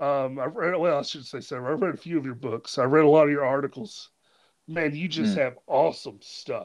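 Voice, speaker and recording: This man has a fairly high pitch. He talks at a fairly quick pace. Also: ordinary pitch variation. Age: 30s. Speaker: podcast host. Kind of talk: casual interview; scripted intro monologue.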